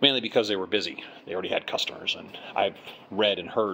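Over light background noise, a man talks at a very fast pace. His fairly low voice keeps fairly even intonation. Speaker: traveler vlogger. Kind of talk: casual vlog chat. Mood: mildly disappointed. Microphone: phone near.

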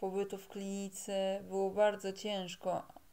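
A woman's dark, mellow tone at a very slow pace. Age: 20s. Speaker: vlogger sharing personal illness story; personal storyteller. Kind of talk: personal testimony. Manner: halting, with fillers and repetitions. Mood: serious, reflective. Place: home room. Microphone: phone near.

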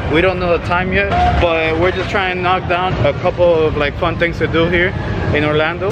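Crowd noise fills the background as a man speaks. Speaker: vlogger. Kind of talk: casual vlog chat. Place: street. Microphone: phone near.

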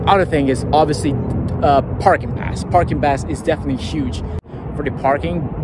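Loud background noise behind a man at a fairly quick pace, the sound dry with no echo. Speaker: sports fan vlogger. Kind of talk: casual vlog chat. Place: stadium. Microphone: phone near.

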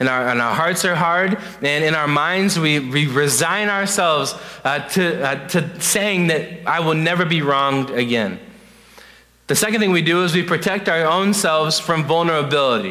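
A man's unremarkable speaking voice, fairly high in pitch with ordinary variation, at a moderate pace and very even loudness against a quiet background. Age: 20s. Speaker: youth pastor. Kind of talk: sermon. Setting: church. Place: church.

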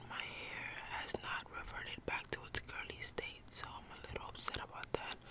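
Whispered words from a woman, moderately paced. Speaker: vlogger. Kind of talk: casual vlog chat. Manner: soft close ASMR talking. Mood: a little upset. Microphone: phone near.

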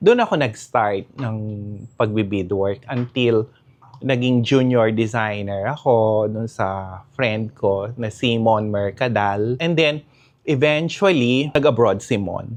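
A man's medium-pitched voice at a very slow pace. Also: ordinary pitch variation. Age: 50s. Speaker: fashion designer. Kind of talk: interview.

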